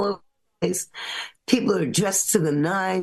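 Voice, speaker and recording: A woman with a New York accent, medium pitch and lively intonation. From New York (Bronx, Brooklyn, Long Island). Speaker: singer-songwriter. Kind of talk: casual interview storytelling. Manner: animated.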